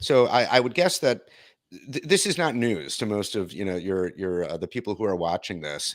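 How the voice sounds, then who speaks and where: A man with a Midwestern American accent speaks at a fairly low pitch with lively intonation. The sound is dry and close, with no echo. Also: very clean recording, silent background. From Detroit, US Midwest. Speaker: video content producer. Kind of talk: interview conversation.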